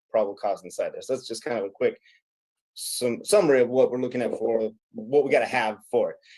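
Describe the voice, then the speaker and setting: A man speaks with a slight Midwestern accent. His voice sits at a medium pitch. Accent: slight Midwestern twang picked up this week. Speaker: legal or law enforcement instructor. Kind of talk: legal discussion. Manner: hesitant, many fillers.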